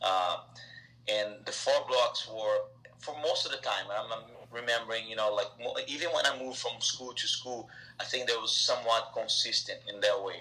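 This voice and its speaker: A man talks at a moderate pace. He has a Brazilian accent. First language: Portuguese. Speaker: soccer technical director; interview guest. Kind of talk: interview answer. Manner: hesitant, many filler words. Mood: friendly, reminiscing. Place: home room. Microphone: video call.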